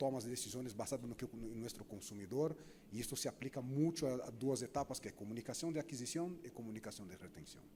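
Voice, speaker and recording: With a Brazilian accent, a man talks in a medium pitch. His tone is dark and mellow. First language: Portuguese (speaking Spanish). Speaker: marketing executive, panelist. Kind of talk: panel discussion.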